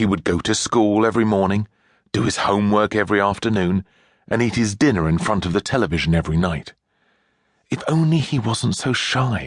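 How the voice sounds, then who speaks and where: Against a quiet background, a man's ordinary speaking voice comes through dry and close with no echo, fairly low and fairly quick, with lively intonation and very even loudness. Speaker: audiobook narrator. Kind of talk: audiobook narration, children's story.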